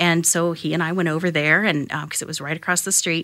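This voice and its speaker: The tone is bright and sharp, at a fairly quick pace. The recording is very clean, with a silent background. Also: woman. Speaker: voiceover artist. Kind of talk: interview conversation. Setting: studio, face-to-face.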